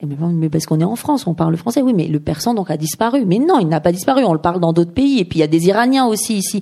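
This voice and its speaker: A woman's fairly low-pitched voice with a dark, mellow tone, at a very fast pace with hardly any pauses. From Iran, raised in Paris from age 6. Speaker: novelist. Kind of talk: author talk at a bookshop. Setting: bookshop event with audience.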